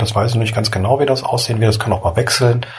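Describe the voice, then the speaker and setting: A man's medium-pitched voice. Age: 30s. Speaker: podcaster and blogger. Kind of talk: solo podcast monologue. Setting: at home lying in bed. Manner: relaxed, casual.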